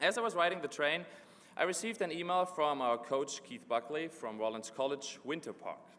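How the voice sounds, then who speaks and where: Lively intonation and a fairly quick pace mark this man's fairly high-pitched speech. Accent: slight German. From Germany. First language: German. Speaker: graduate student speaker. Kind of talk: commencement speech. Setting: graduation ceremony in a gym with audience.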